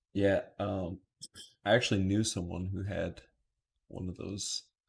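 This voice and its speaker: A man at a fairly slow pace, somewhat breathy and flat in a monotone, in a very clean recording with a silent background. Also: fairly low pitch for a man, big swings in loudness. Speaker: podcast co-host. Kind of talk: casual chat.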